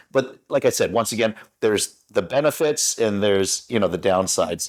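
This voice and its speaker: In a western Canadian accent, a man talks at a medium pitch. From Canada, Vancouver (west coast). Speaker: broadcaster. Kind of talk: interview. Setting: studio.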